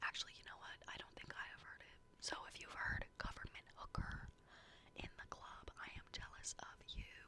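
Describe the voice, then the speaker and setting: Noticeable background noise runs beneath a whispering voice. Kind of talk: ASMR whisper ramble. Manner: whispered; casual, chatty.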